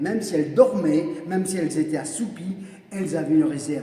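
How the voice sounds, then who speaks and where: Lively intonation marks this man's speech, heard with audible room echo and noticeable background noise. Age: 60s. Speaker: evangelist preacher. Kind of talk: sermon. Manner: repetitive, emphatic.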